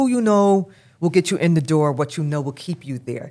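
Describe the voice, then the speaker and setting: The woman's pitch is very deep and low, and she speaks at a moderate pace with an American accent. The recording is very clean, with a silent background. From Brooklyn, New York. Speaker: sports league executive. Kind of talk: interview.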